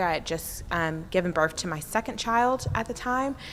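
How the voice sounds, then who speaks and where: A woman with an American accent, fairly low in pitch, with ordinary pitch variation. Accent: occasional deep Southern. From US South, military family. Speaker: city official and former prosecutor. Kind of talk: conference presentation. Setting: conference breakout room with audience.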